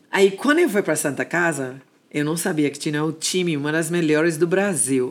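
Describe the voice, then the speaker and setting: A woman's very deep, low voice in an English accent, at a moderate pace with ordinary pitch variation. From Jamaica. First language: English (speaking Portuguese). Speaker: dance music and gospel singer. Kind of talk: interview.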